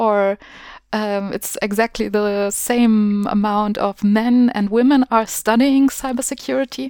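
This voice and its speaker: A woman with a German accent, fairly high in pitch with ordinary variation, in a dry, close sound with no echo and a very clean recording over a silent background. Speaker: podcast host. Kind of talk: interview.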